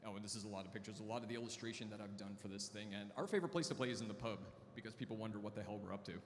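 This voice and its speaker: Amid noticeable background noise and audible room echo, a man talks at a very fast pace with a fairly low pitch and fairly even intonation. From Canada. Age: 40s. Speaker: artist and co-founder. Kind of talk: conference talk.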